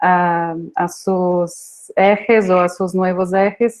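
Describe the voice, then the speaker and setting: This woman has a medium-pitched voice. Her intonation stays monotone and flat. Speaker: screenwriting professor. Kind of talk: conference talk. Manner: hesitant, many fillers.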